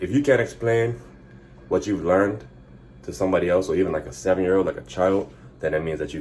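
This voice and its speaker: A man talks at a very fast pace with a very deep, low pitch. Vocal fry runs through his voice. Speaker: fitness vlogger. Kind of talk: casual vlog monologue. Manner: fumbling over words.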